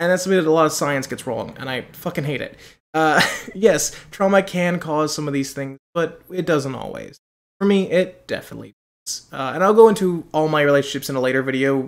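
Over a quiet background, a man talks at a fairly quick pace with ordinary pitch variation and big swings in loudness. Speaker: vlogger. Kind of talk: casual vlog chat. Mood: personal, laughing, candid. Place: home room. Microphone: webcam.

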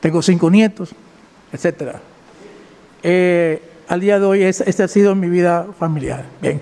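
Speaking at a very slow pace with long, frequent pauses, a man keeps his high voice in fairly even intonation. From Dominican Republic. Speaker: defendant, civil engineer. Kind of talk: court testimony; courtroom defense statement. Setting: courtroom. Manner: halting. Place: hall. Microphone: podium.

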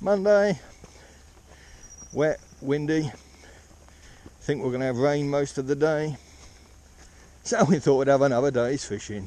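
Lively in intonation, a man talks at a moderate pace with long, frequent pauses. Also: dry sound with no echo. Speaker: fly fisherman vlogger. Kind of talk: casual vlog chat. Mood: cheerful, wry about weather. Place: waterside. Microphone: phone near.

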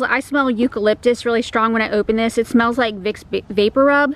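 Her voice is high-pitched and she speaks at a moderate pace. The woman's sound is dry with no echo, with light background noise. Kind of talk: casual vlog chat. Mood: mildly worried, hopeful. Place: garden. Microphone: phone near.

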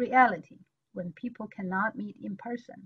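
Her voice is fairly high and somewhat breathy. This woman uses ordinary pitch variation. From China. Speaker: education exchange official; webinar panelist. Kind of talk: webinar presentation. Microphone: video call.

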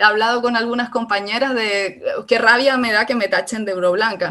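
At a moderate pace, a woman speaks with a fairly high pitch and ordinary pitch variation over a quiet background. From Canary Islands. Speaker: philosophy researcher; speaker. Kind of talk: talk; talk in an online seminar. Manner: halting. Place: home room. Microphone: video call.

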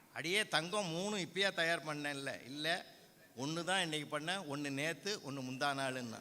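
Audible room echo surrounds a man whose fairly high voice has a bright, sharp tone. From Tamil Nadu, Viluppuram district. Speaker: Tamil scholar and debate speaker. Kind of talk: stage debate speech. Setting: stage with audience. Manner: animated.

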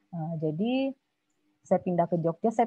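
A woman speaks in a fairly low pitch, the sound dry with no echo against a quiet background. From West Sumatra, Payakumbuh; West Sumatra. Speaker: multimedia artist; guest. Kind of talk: casual chat. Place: home room. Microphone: video call.

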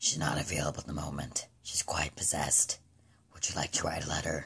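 This is a put-on character voice, raspy and very deep, low in pitch. It moves at a fairly quick pace. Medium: dub. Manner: menacing, mocking.

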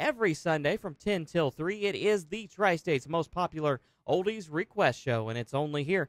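A man with a high-pitched voice talks at a moderate pace with lively intonation. He leaves hardly any pauses. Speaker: country radio host. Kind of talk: radio aircheck, DJ break. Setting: radio station broadcast.

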